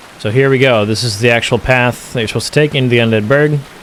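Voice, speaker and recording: Talking at a very fast pace with fairly even intonation, a man is heard over noticeable background noise. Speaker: gaming video creator. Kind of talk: game walkthrough commentary.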